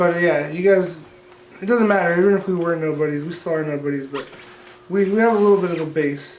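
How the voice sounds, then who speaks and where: Speech at a very fast pace, with noticeable background noise and audible room echo. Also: man. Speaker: podcast co-host. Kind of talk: casual chat.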